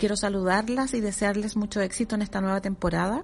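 Very fast and somewhat breathy, a woman speaks. Her pitch is fairly high, with ordinary variation. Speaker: social worker and feminist activist. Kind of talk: recorded audio message.

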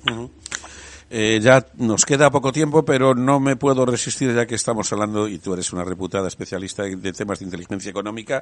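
This man talks very fast, his medium pitch showing ordinary variation. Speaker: radio host. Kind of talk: radio talk show.

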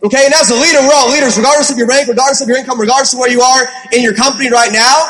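Very fast speech with very even loudness and fairly even intonation comes through audible room echo and noticeable background noise. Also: man, extremely high pitch for a man. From Ohio. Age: 20s. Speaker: network marketing entrepreneur. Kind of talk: panel discussion on stage. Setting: stage with audience.

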